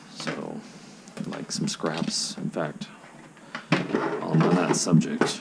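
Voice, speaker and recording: Quietly and at a very slow pace, a man speaks with long, frequent pauses over noticeable background noise. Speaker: armor builder, prop maker. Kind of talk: casual tutorial talk to camera. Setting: home recording at night. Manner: hushed, quiet; slow, patient.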